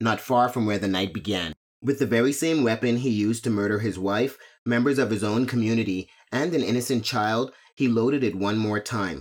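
A man with a plain, everyday voice at medium pitch talks at a fairly quick pace. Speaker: podcast host, true crime narrator. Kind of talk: true-crime narration, scripted and read aloud. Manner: grave, measured, somber storytelling; formal, steady.

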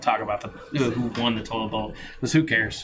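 A man talking at a fairly quick pace, with noticeable background noise. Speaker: fantasy football podcast host. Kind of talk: casual chat. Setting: garage, live recording.

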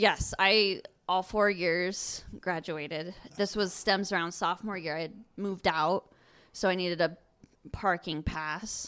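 Speaking with an American accent in a plain, everyday voice, the speaker keeps a fairly slow pace and fairly even intonation on a very clean recording with a silent background. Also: woman, medium pitch for a woman. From Colorado. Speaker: guest storyteller. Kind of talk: casual chat. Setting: kitchen of a holiday rental.

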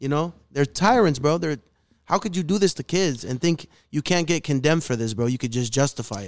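A man with a Chicago urban accent talks at a fairly quick pace in a fairly high pitch. His intonation is lively, and the recording is very clean with a silent background. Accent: Chicago urban American English. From Chicago, north side. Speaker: rapper. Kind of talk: casual chat. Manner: animated.

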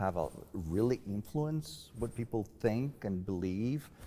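A man's fairly low voice with a Spanish accent, dark and mellow in tone, lively in intonation, at a very slow pace. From Mexico. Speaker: professor. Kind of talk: panel discussion. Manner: halting, with frequent repetitions.

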